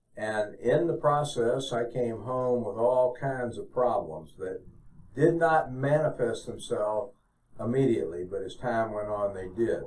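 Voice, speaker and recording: A man with a medium-pitched voice speaks in a room with audible echo. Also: ordinary pitch variation. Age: 70s. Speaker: retired physician and veteran. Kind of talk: testimony.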